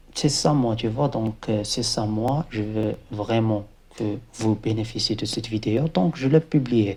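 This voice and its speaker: In a very clean recording with a silent background, a man speaks at a very slow pace. His voice is medium-pitched with a dark, mellow tone and ordinary pitch variation. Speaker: embedded software engineer, video creator. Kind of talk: motivational talk to camera. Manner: halting, many hesitations.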